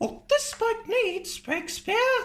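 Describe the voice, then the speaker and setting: Someone puts on a squeaky character voice at an extremely high pitch. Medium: read story. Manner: brisk, self-assured.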